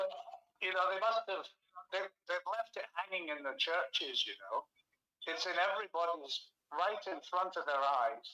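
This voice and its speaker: A raised, projected voice from a man, high in pitch, with ordinary pitch variation, a moderate pace and long, frequent pauses. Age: 70s. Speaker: author and researcher. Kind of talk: interview conversation. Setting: live stream video call.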